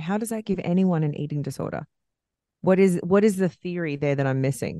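With an Australian accent and ordinary pitch variation, a woman speaks in a dry, close sound with no echo over a quiet background. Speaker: podcast co-host. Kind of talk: casual chat. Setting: recording at home.

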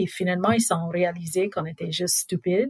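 Speaking with an English accent, a woman with a fairly low pitch talks at a fairly slow pace in a somewhat breathy voice. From southwest Louisiana, US. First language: English (speaking French). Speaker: NGO director. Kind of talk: storytelling interview. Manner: casual.

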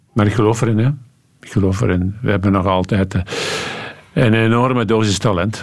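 Over noticeable background noise, a man speaks at a fairly low pitch with fairly even intonation. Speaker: cycling commentator. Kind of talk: studio talk show interview.

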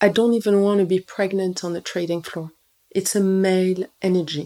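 A woman's dark, mellow tone at medium pitch and moderate pace. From Morocco. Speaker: nutritionist and entrepreneur. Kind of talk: interview conversation.

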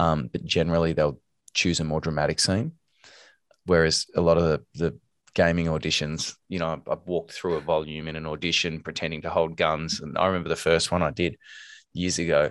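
Fairly quick, monotone, flat speech from a man with a very deep, low pitch and an Australian accent, on a very clean recording with a silent background. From Australia, Melbourne. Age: 40s. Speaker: actor and voice actor. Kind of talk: casual interview.

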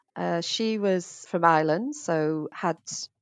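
Speaking with a British accent, a woman with a fairly low pitch and ordinary pitch variation comes across in a dry, close sound with no echo over a quiet background. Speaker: hotel general manager. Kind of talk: casual interview chat.

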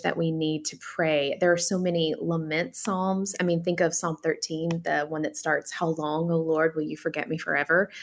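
Using an unremarkable speaking voice, a woman talks at a moderate pace with a fairly low pitch. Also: very clean recording, silent background. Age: 40s. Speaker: author and pastor's wife. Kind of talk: radio interview.

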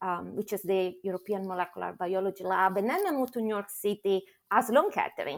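A woman speaks at medium pitch with ordinary pitch variation, in an Italian accent. The recording is very clean, with a silent background. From Italy. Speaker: pharma medical affairs head. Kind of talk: interview.

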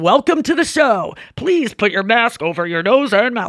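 In a put-on character voice, a man speaks at a moderate pace with an extremely high pitch and very wide pitch swings, on a very clean recording with a silent background. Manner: booming, authoritative.

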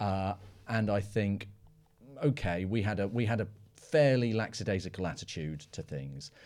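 A man with a British accent speaks at a fairly low pitch, leaving long, frequent pauses. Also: lively intonation, moderate pace. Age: 40s. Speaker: analyst, podcast co-host. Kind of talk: casual discussion. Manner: halting, many fillers and repetitions.

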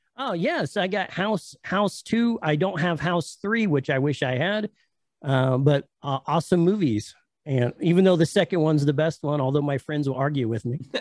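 With an American accent, a man talks at a moderate pace in an ordinary speaking voice, fairly high-pitched for a man with lively intonation, the sound dry and close with no echo against a quiet background. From US. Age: 40s. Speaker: YouTuber, VHS collector. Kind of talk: casual chat. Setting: video call.

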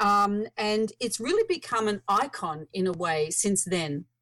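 With an Australian accent, a woman talks at a fairly slow pace. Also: very clean recording, silent background. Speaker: author and researcher on birth control. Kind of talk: casual interview.

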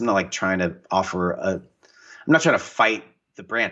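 With an American accent, a man speaks using lively intonation. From US Pacific Northwest. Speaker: painter and author. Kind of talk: casual interview. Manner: animated.

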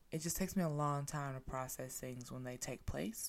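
With an animated tone, a woman talks in a very deep, low pitch. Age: 20s. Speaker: podcast host. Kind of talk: solo podcast monologue. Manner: casual, animated.

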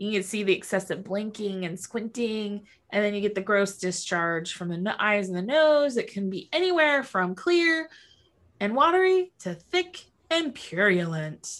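Putting on a strained character voice, a woman speaks at a moderate pace and a medium pitch. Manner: squinting, strained voice.

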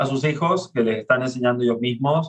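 This is a plain, everyday voice at a fairly quick pace. Its intonation stays fairly even. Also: man. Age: 40s. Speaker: father and parenting speaker. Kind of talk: casual interview.

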